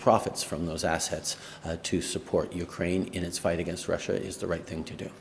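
A man speaks at a moderate pace with a very deep, low pitch. Light background noise sits underneath. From Canada. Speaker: politician. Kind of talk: press conference answer. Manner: mumbling, stumbling, hesitant. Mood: measured, hesitant. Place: hall. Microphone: podium.

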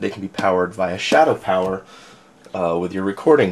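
A man's plain, everyday voice, fairly low in pitch, at a fairly quick pace. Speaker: hobbyist reviewer. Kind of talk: casual unboxing commentary. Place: home room.

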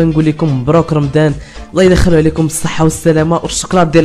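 Speaking at a very fast pace, a man is heard with faint music in the background. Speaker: gaming youtuber. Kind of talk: casual vlog chat. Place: home room. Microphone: phone near.

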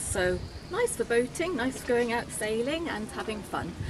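Lively intonation from a high-pitched woman amid noticeable background noise. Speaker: marina front-of-house staff presenter. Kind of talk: friendly scripted-style weather report. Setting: office at marina. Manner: warm, welcoming, chatty; casual, with filler ums. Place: waterside. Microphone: phone near.

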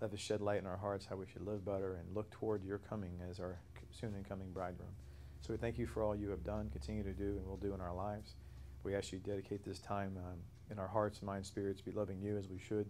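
A man's fairly low, dark, mellow voice at a very fast pace, with fairly even intonation over light background noise. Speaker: bible study teacher. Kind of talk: prayer then lecture. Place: church. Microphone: lapel.

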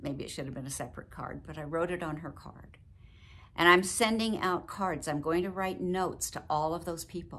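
A woman's fairly low voice with a bright, sharp tone, ordinary pitch variation, big swings in loudness and a moderate pace. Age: 70s. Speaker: video blogger. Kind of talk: personal vlog talk. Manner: warm, chatty. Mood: emotional, reflective. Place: home room. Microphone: phone near.

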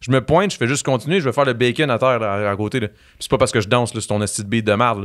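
A man's animated, very fast delivery over a quiet background. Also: ordinary pitch variation. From Quebec. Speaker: reality TV personality and musician; podcast guest. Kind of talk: casual chat. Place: studio. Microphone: studio mic.

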